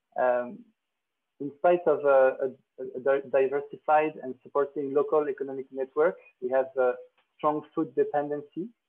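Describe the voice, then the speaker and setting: A man with a French accent talks at a moderate pace. His voice is fairly high, with fairly even intonation. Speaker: agronomist. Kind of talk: conference presentation. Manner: halting, many fillers.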